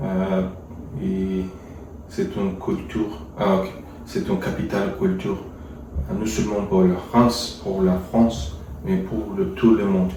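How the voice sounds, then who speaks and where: Very slow speech in a non-native accent, with long, frequent pauses, audible room echo and noticeable background noise. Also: man, fairly low pitch for a man, fairly even intonation. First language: not French (speaking French). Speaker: French learner practicing with an AI tutor. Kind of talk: casual language practice conversation. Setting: voice chat with an AI agent. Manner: halting, many hesitations.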